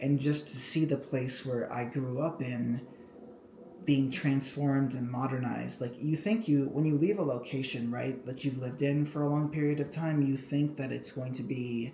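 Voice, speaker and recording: The delivery has fairly even intonation and a moderate pace, with noticeable background noise present. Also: man, fairly high pitch for a man. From Cambodia. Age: 20s. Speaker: YouTuber. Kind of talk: casual vlog. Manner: casual, filler-heavy.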